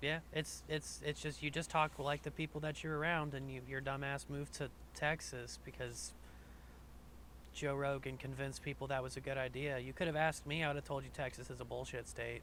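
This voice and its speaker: A man with a Southern accent at a fairly quick pace. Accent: light Southern. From US South. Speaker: podcast host. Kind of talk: casual chat.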